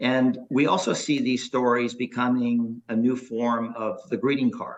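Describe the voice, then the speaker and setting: With an unremarkable speaking voice, a man talks at a fairly slow pace in a medium pitch and fairly even intonation. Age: 60s. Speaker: startup founder and CEO. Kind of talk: interview.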